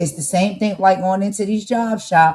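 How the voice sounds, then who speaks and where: A woman's somewhat breathy, dark, mellow voice at a medium pitch and moderate pace, with an American accent. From New Jersey. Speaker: podcast host. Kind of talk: casual commentary. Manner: animated.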